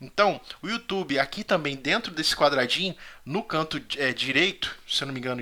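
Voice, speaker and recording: His intonation lively, a man is speaking. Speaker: Sunday school Bible teacher. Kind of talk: Bible study lecture. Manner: fast.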